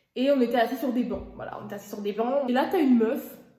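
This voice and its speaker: A woman talks with fairly high pitch and fairly even intonation. Audible echo from the room surrounds her voice. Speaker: YouTuber. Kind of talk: casual storytime while cooking. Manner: fast; stammering repetitions.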